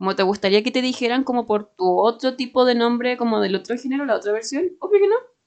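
With a Chilean accent, a woman talks at a very fast pace in a high pitch, using lively intonation and hardly any pauses. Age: 20s. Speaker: podcast co-host. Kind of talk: casual chat.

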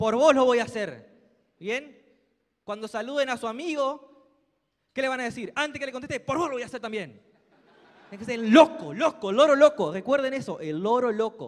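In an animated tone and a Rioplatense accent, a man talks at a moderate pace with extremely high pitch and lively intonation. His loudness swings widely, and he takes long, frequent pauses. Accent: Argentine Rioplatense Spanish. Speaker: motivational speaker at a sales business event. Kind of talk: motivational speech. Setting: stage with audience. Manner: loud, animated.

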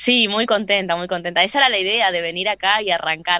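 Bright and sharp in tone, a woman's voice sitting at a medium pitch. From Posadas, Misiones, northern Argentina. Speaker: rapper and freestyler. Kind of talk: radio interview.

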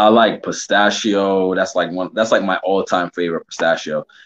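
With a very deep, low pitch, a man talks at a fairly quick pace, and the sound is dry and close with no echo. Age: 30s. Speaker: music producer. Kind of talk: casual chat.

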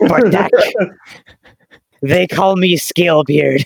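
In a put-on character voice, a man speaks with a raspy, high pitch at a fairly slow pace. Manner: pirate-like, gruff.

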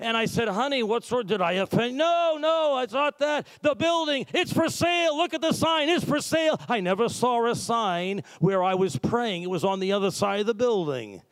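With an American accent, a man speaks at an extremely high pitch, his pitch swinging very widely at a moderate pace with hardly any pauses. His loudness stays very even. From Massachusetts. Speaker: pastor. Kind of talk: sermon. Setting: church. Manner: animated.

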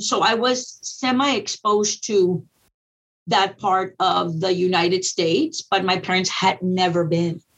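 A woman with an ordinary speaking voice and an American accent speaks at a fairly slow pace and medium pitch, with ordinary pitch variation. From Texas Rio Grande Valley. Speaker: school district educator. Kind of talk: interview.

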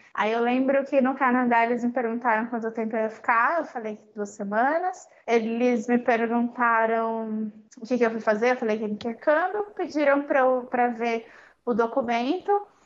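A woman's high voice in a Paulista accent, moderate in pace, with ordinary pitch variation. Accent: Paulista Brazilian Portuguese. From Brazil, São Paulo. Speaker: language learner, former exchange student. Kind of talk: casual interview.

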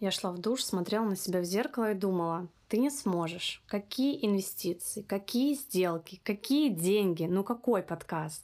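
On a very clean recording with a silent background, a woman with an ordinary speaking voice talks at a moderate pace and medium pitch, her intonation lively and her loudness very even. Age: 20s. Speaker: podcast host. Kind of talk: scripted monologue.

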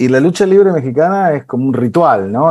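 A man's dark, mellow voice with lively intonation, a moderate pace and a Rioplatense accent. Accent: Argentine Spanish (rioplatense). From Argentina. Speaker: TV post-production producer. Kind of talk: casual interview chat.

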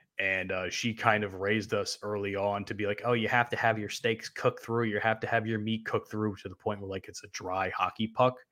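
A man at a fairly quick pace with hardly any pauses and monotone, flat intonation, in a very clean recording with a silent background. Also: fairly low pitch for a man. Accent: American. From New Jersey. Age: 20s. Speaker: podcast host. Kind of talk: casual chat.

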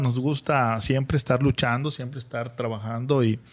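The speaker is a man with a medium-pitched voice. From Chiapas, Mexico. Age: 40s. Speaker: local public servant and farmer. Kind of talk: live video podcast interview. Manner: halting, with many repetitions.

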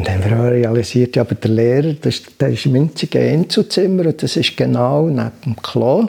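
A man with a medium-pitched voice talks at a fairly quick clip, barely pausing, his intonation lively. Noticeable background noise runs under the recording. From Switzerland, Bern. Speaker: meditation teacher. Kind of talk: interview. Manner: hesitant, many filler sounds.

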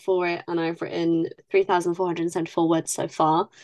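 Recorded dry and close with no echo against a quiet background, a woman speaks in a fairly low pitch. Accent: British. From UK. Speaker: podcast co-host, writer. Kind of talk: casual chat.

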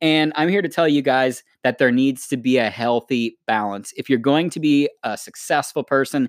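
On a very clean recording with a silent background and a dry, close sound with no echo, a man with an American accent speaks at a moderate pace in a medium pitch with fairly even intonation, a normal speaking voice. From United States. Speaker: podcast co-host. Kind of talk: casual chat.

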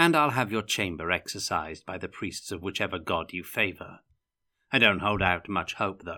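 In a put-on character voice, a man speaks at a moderate pace with a low pitch, lively intonation and a bright, sharp tone, on a very clean recording with a silent background.

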